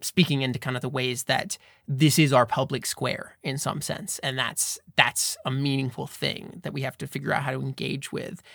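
This man has an American accent and a medium pitch with ordinary pitch variation. Vocal fry runs through his voice. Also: moderate pace, dry, close sound with no echo. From United States. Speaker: podcast co-host, filmmaker. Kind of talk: casual chat.

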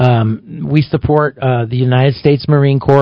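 A man speaks in an ordinary speaking voice at a moderate pace. His pitch sits in the medium range, with ordinary variation. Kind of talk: relaxed on-air radio banter with the host, casual back-and-forth chat. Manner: easygoing, laughing, conversational, with short agreeable replies.

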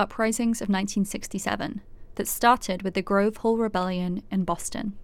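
Recorded very clean against a silent background, a woman with an unremarkable speaking voice talks at a fairly quick pace and medium pitch with fairly even intonation. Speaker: podcast host/narrator. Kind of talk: scripted narration.

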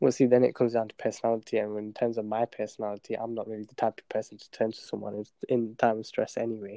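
In a British accent, a man talks very fast with hardly any pauses, at a medium pitch. His intonation is monotone and flat, while his loudness swings widely. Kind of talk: casual interview chat.

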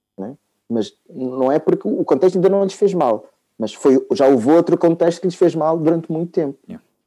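This man speaks at a high pitch with a dark, mellow tone. His intonation is lively and his pace moderate. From Portugal, Lisbon, with Angolan parents. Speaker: psychologist. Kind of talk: casual interview conversation. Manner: halting, with many repeated words.

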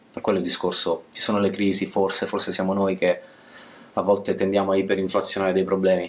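This man's voice sits at a fairly low pitch. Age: 30s. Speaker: YouTuber and essayist on masculinity. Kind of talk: casual interview conversation. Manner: hesitant, repeats words.

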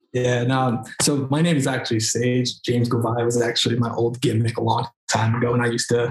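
In an American accent, a man talks with monotone, flat intonation. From New York, Queens. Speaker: wrestler. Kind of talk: casual chat.

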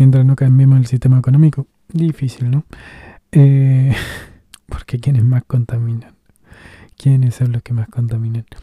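A dark, mellow, somewhat breathy voice in a dry, close sound with no echo, flat monotone intonation, a moderate pace and long, frequent pauses. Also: man, medium pitch for a man. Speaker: podcast host reading own blog texts. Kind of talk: casual monologue.

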